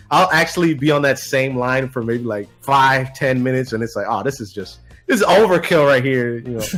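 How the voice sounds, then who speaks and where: Music plays in the background. The speaker talks fairly quickly with ordinary pitch variation. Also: man. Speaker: voice actor. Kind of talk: casual podcast interview answer.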